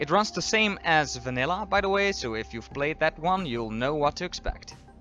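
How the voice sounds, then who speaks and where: Music plays in the background as a man speaks with lively intonation. His pace is moderate. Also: fairly high pitch for a man. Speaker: game reviewer. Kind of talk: video game review narration.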